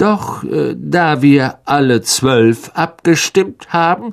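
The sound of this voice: A man puts on a character voice with a fairly high pitch and some vocal fry. He talks slowly, his intonation lively.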